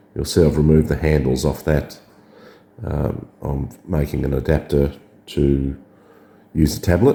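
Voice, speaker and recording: This man has a very deep, low pitch and a dark, mellow tone with vocal fry. He talks at a moderate pace with fairly even intonation. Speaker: drone hobbyist. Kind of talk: tutorial. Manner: casual, hesitant with fillers.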